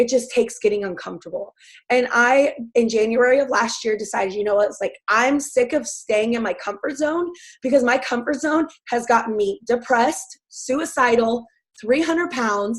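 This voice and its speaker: Loud and high-pitched, a woman talks at a moderate pace. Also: ordinary pitch variation. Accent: American. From US South. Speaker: fitness coach. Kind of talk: testimony. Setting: webinar.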